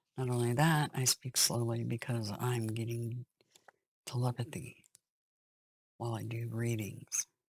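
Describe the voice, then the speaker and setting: Speaking at a fairly slow pace with long, frequent pauses, a woman has a very deep, low pitch, a somewhat breathy quality and monotone, flat intonation, recorded with a dry, close sound and no echo. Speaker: tarot reader. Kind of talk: tarot reading monologue.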